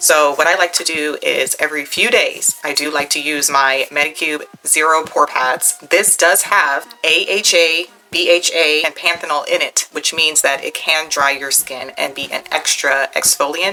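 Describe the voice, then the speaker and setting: The speech moves at a moderate pace with hardly any pauses and fairly even intonation, over noticeable background noise. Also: woman, very deep, low pitch for a woman. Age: 40s. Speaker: beauty vlogger. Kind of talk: tutorial. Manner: casual, conversational.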